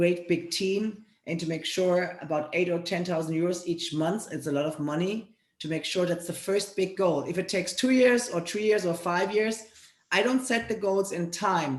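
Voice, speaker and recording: A woman with a German accent speaks at a moderate pace, her fairly low pitch moving with ordinary variation. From Germany. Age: 40s. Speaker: fitness trainer and network marketer. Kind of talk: interview.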